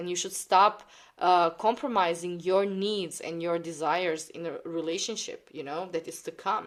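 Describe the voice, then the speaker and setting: Someone with a non-native accent speaks at a moderate pace with fairly even intonation. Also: woman. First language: not English. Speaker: tarot card reader. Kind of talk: tarot reading monologue. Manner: halting, many fillers.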